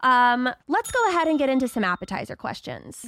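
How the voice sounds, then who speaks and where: A woman's high, raised and projected voice with a bright, sharp tone and very wide pitch swings at a moderate pace, dry and close with no echo on a very clean recording with a silent background. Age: 30s. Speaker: podcast host. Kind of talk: casual chat; scripted intro.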